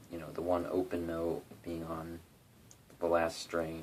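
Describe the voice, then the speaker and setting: A man's very deep, low voice at a moderate pace, with a relaxed tone. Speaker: guitarist doing a tutorial. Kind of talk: casual talk to camera, tutorial. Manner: monotonous, relaxed.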